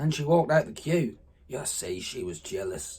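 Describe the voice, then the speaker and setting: The voice, somewhat breathy and in a Norfolk accent, moves at a fairly slow pace. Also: man. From Norfolk, England. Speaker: farmer. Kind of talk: dialect letter reading.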